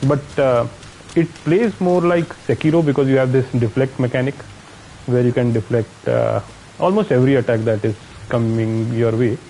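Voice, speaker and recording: A man with a strong Indian accent speaks at a moderate pace and medium pitch, with ordinary pitch variation and very even loudness. His speech has long, frequent pauses, and background noise is noticeable. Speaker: gaming streamer. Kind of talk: live gameplay commentary. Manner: casual, thinking aloud.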